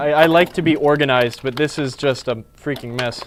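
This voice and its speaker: Noticeable background noise behind a man's fairly high voice with ordinary pitch variation. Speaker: pinball technician. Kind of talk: live stream tutorial. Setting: live stream. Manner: fast.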